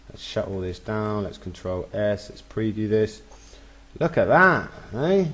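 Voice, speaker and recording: The speech goes at a fairly slow pace with big swings in loudness. Noticeable background noise sits behind it. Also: man. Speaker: web design tutor. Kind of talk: screen-recorded software tutorial. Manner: casual and upbeat.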